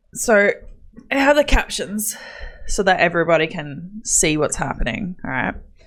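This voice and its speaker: Mumbling at a moderate pace with an Australian accent, the speaker sounds animated, the pitch swinging very widely. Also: woman, medium pitch for a woman. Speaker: gaming streamer. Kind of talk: live stream chat. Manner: casual, animated.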